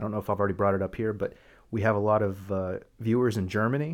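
On a very clean recording with a silent background, a man talks at a fairly low pitch with fairly even intonation. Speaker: podcast host. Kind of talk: casual chat.

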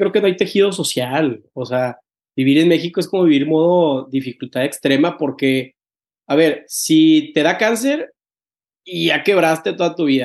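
Against a quiet background, a man with a fairly high pitch talks at a fairly slow pace with ordinary pitch variation. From Mexico, Tampico. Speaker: podcast host. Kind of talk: casual interview chat. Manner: halting, many repetitions.

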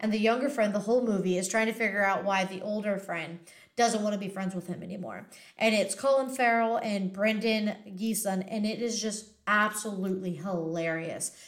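Medium pitch, a moderate pace and fairly even intonation from a woman, in an ordinary speaking voice. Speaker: podcast co-host and screenwriter. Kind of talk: casual chat. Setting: video call.

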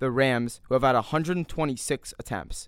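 Recorded very cleanly against a silent background, a man speaks at a fairly high pitch in a plain, everyday voice with ordinary pitch variation. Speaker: podcast host. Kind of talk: heated debate. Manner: insistent, interrupting, fast.

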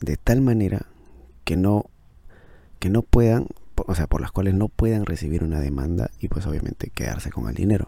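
This man's voice is very deep and low, with a dark, mellow tone. He talks at a fairly quick pace with ordinary pitch variation. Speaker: podcaster reviewing books. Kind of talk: casual book review monologue. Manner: halting, with many fillers and repetitions.

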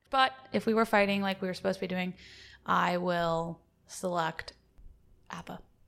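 A woman with an American accent, medium pitch and ordinary pitch variation, at a moderate pace with long, frequent pauses. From US South. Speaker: co-host applicant. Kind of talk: mock job interview.

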